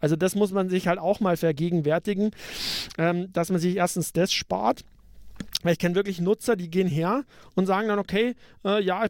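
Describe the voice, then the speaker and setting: A man's high voice with a Bavarian accent at a very fast pace, dry and close with no echo, on a very clean recording with a silent background. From Upper Bavaria, Germany. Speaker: podcast co-host. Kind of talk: casual tech discussion.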